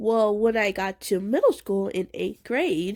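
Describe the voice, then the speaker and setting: Speaking very slowly, a woman keeps a medium pitch with ordinary pitch variation. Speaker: deaf person with one hearing aid. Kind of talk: casual talk to camera. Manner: stuttering.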